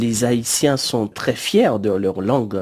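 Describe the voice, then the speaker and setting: A man's fairly low voice at a very slow pace, dark and mellow in tone, with ordinary pitch variation. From Guadeloupe. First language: Creole (speaking French). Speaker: radio producer. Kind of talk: interview.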